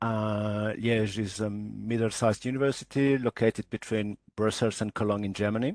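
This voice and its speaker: A man with a fairly low voice speaks at a moderate pace in a monotone, flat delivery, with hardly any pauses, over a quiet background and a dry sound with no echo. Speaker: university librarian. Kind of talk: panel discussion. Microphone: video call.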